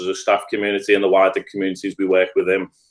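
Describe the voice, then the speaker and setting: A man with a Liverpool accent at a very fast pace. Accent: Scouse. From Liverpool, England. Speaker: restorative practice trainer. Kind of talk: podcast interview.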